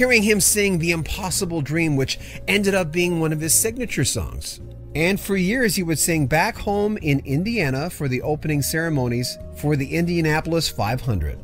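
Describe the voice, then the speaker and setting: Music sits in the background as a man speaks at a fairly high pitch. His pace is moderate and his loudness very even. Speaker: news presenter. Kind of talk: obituary news commentary.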